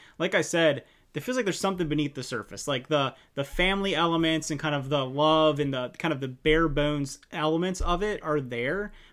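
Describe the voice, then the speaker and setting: Speaking at a fairly quick pace with ordinary pitch variation, a man talks over a quiet background. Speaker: movie reviewer. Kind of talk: movie review commentary. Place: home room. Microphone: studio mic.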